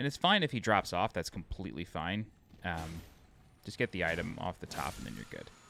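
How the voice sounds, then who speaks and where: A man with an American accent talks at a fairly quick pace in a very deep, low pitch with very wide pitch swings, a bright, sharp tone and vocal fry. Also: big swings in loudness. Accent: New York accent, slips out when tired. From New York (Long Island). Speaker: video game walkthrough narrator. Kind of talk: game walkthrough tutorial. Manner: casual, conversational.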